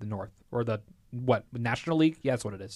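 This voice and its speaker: With a plain, everyday voice, a man speaks at a fairly quick pace. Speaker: podcast host. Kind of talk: casual chat. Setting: studio.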